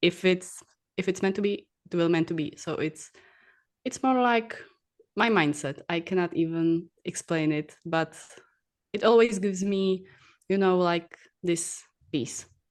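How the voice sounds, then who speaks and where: Someone with a Czech accent talks at a fairly slow pace, with ordinary pitch variation and long, frequent pauses. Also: woman, medium pitch for a woman. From Czech Republic. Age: 20s. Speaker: bodybuilding athlete and coach. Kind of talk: interview podcast. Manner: halting.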